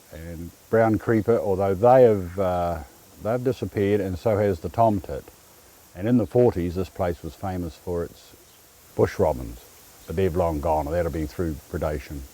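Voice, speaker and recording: A man with a New Zealand accent speaks at a moderate pace in a very deep, low pitch. His tone is dark and mellow, with ordinary pitch variation. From New Zealand, Dunedin. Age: 60s. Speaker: conservationist and campground caretaker. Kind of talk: interview monologue. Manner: halting, with fillers and repeats.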